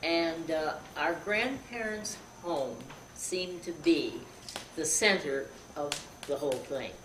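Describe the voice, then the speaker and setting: A woman's fairly low voice with an American accent, fairly slow pace, audible room echo and noticeable background noise. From western New York. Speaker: relative of a celebrity. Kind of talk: interview. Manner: halting.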